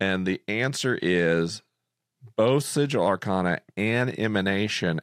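A man with a very deep, low voice and vocal fry speaks at a very slow pace with very wide pitch swings, in a very clean recording with a silent background and a dry, close sound with no echo. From Florida. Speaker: podcast host. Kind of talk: casual chat.

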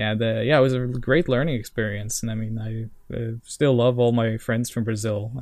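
Delivered at a moderate pace with a Norwegian accent, the speech has a monotone, flat intonation. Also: man. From Norway. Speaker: video game music historian. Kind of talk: casual chat.

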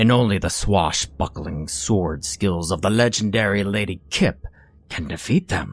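A man's put-on character voice, low-pitched with a slightly husky edge, at a fairly slow pace. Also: ordinary pitch variation.

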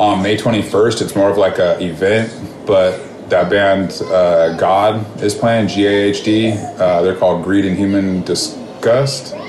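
With an American accent, a man speaks at a medium pitch amid audible room echo and noticeable background noise. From California, Bakersfield. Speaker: hardcore punk musician. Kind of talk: casual interview chat.

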